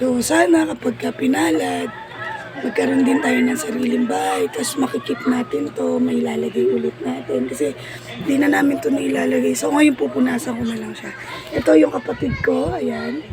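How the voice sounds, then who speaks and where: Moderate pace over crowd noise in the background. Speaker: vlogger. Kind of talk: casual vlog.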